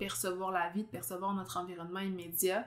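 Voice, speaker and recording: A woman speaks with a slight Abitibi Quebec accent. Her voice is bright and sharp at a medium pitch. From Quebec, Abitibi. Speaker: podcast host, astrologer. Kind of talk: casual interview chat. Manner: fast.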